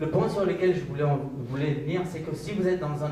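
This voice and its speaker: The man's pitch is fairly high. Room echo is audible, and there is noticeable background noise. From Pakistan. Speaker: business manager, panelist. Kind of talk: panel discussion.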